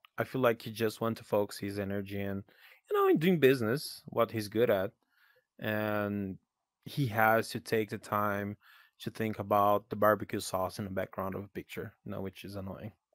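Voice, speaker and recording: In a very clean recording with a silent background and a dry, close sound with no echo, a speaker with a Portuguese accent shows big swings in loudness and fairly even intonation. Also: man, fairly low pitch for a man, moderate pace. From Brazil. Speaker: podcast host and virtual world creator. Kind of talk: casual chat.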